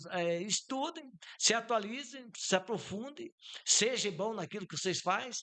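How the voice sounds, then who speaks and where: The speaker uses a raised, projected voice with lively intonation at a fairly slow pace. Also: man, high pitch for a man. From southern Brazil, Santa Catarina (Campos Novos). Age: 60s. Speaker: businessman. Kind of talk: podcast interview. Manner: informal, with frequent fillers.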